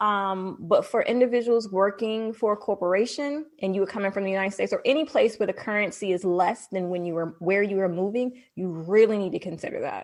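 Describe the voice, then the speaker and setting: A woman's unremarkable speaking voice with an American accent, at a fairly quick pace with hardly any pauses, medium in pitch with ordinary variation, over a quiet background. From Washington DC, US. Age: 40s. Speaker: digital marketing entrepreneur and expat. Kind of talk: interview.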